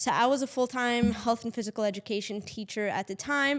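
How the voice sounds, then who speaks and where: In a very clean recording with a silent background, a woman talks in a fairly high voice. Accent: Portuguese. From Portugal. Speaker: real estate agent, podcast co-host. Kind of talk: casual chat.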